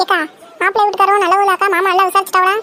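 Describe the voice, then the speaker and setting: Putting on a squeaky, cartoonish character voice, a woman talks very fast at an extremely high pitch with monotone, flat intonation. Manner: warm, doting.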